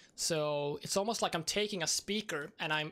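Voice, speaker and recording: The speaker has a Swedish accent. The pace is moderate. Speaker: streamer. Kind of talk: gameplay stream commentary. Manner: halting, trips on words.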